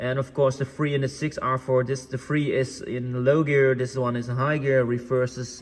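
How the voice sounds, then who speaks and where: A man speaks at a moderate pace and medium pitch with hardly any pauses and monotone, flat intonation. Noticeable background noise runs under his voice. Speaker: tractor parts dealer demonstrating tractors. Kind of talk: product walkthrough tutorial. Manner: hesitant, many fillers.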